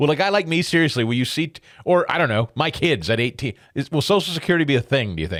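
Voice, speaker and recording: The speaker races along very fast with lively intonation and audible vocal fry. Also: man, fairly high pitch for a man. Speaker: talk radio host. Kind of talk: talk radio interview.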